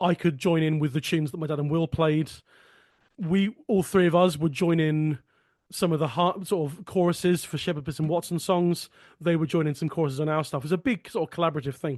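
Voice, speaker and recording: With a southern English accent, a man talks at a fairly quick pace in a fairly high pitch and fairly even intonation. The sound is dry and close with no echo, over a quiet background. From Sussex, southern England. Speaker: folk song podcast host and folk singer. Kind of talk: casual conversation.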